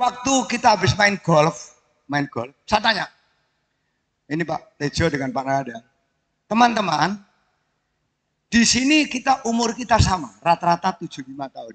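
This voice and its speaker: A man with a high pitch talks at a moderate pace, taking long, frequent pauses. His pitch swings very widely and his loudness varies greatly. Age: 70s. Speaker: retired military officer and benefactor. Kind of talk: ceremonial speech.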